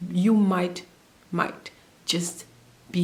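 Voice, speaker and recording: A woman with a fairly low pitch speaks in a monotone, flat intonation, somewhat breathy. Audible room echo is present. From Namibia. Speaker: au pair vlogger. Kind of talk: casual vlog advice talk.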